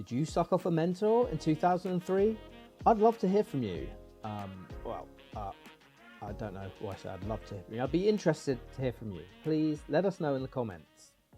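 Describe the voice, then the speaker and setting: A man at a fairly high pitch and fairly quick pace, with very wide pitch swings, big swings in loudness, and music in the background. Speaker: comedian. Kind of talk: comedic video essay narration.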